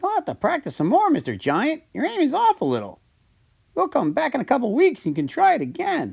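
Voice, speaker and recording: Putting on a character voice, a man talks at a fairly quick pace with an extremely high pitch. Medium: read story. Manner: upbeat, excited.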